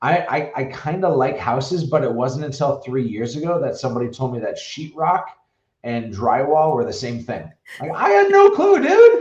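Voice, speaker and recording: There is audible room echo as a man talks at a moderate pace with a North Dakota accent. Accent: Fargo, North Dakota. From US Upper Midwest, Fargo, North Dakota. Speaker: realtor. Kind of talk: podcast interview. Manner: animated.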